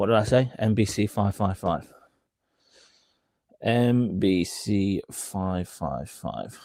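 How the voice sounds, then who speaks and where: A man with a British accent, fairly low pitch and dark, mellow tone, at a very slow pace with ordinary pitch variation and long, frequent pauses. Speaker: reseller streamer. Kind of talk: live stream casual chat. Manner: animated.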